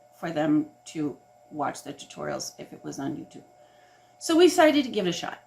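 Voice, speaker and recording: A woman talks at a moderate pace while noticeable background noise carries on around her. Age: 70s. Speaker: doll restorer. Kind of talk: casual chat.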